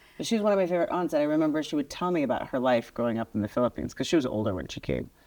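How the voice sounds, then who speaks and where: Over a very clean recording with a silent background, a woman speaks at a very fast pace with a very deep, low pitch, very wide pitch swings and a dark, mellow tone. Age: 50s. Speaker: state legislator and podcast host. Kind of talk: casual interview chat.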